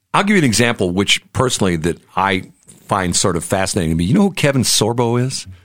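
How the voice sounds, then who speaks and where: Talking very fast with lively intonation, a man with an American accent keeps his loudness very even. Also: fairly low pitch for a man. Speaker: radio and podcast host. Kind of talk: interview. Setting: studio.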